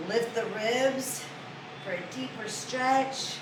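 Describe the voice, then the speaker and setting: A woman's calm tone amid audible room echo and noticeable background noise. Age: 50s. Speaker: fitness instructor. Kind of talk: exercise class instruction. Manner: slow, calm breathing cues.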